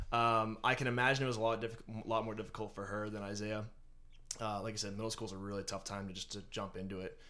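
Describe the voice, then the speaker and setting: Bright and sharp in tone, a man's fairly low voice rushes along at a very fast pace in a flat monotone, with audible room echo. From eastern Massachusetts. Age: 20s. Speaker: finance and HR worker. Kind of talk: casual interview.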